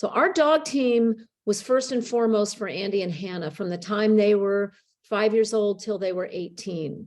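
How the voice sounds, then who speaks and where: With an American accent and a normal speaking voice, a woman talks at a moderate pace in a fairly high pitch with ordinary pitch variation, against a quiet background. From Connecticut. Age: 60s. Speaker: author and sled dog racer. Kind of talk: classroom Q&A talk.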